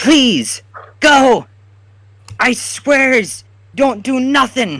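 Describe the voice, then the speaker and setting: A woman speaks very slowly in a high-pitched, put-on character voice. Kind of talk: ungrammatical, crude. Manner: pleading, frightened.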